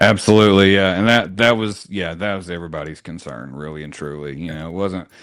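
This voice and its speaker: On a very clean recording with a silent background, a man with a Southern accent and a very deep, low pitch talks at a very fast pace with hardly any pauses, ordinary pitch variation and big swings in loudness. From rural Tennessee. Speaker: real estate team leader. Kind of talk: interview conversation. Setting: podcast.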